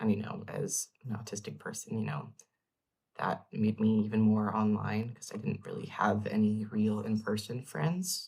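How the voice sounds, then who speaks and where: A man's fairly low, somewhat breathy voice at a fairly slow pace, with ordinary pitch variation. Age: 20s. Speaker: vlogger. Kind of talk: casual personal vlog. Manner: hesitant, many fillers.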